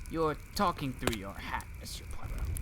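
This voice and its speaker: A man's drawling, put-on character voice, fairly high in pitch, at a moderate pace over loud background noise. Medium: read story. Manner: drawling, dry.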